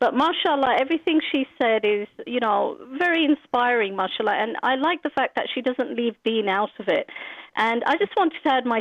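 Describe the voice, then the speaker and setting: A high-pitched woman with a British accent and lively intonation, at a moderate pace. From Britain. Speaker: caller. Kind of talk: phone-in comment. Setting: phone call.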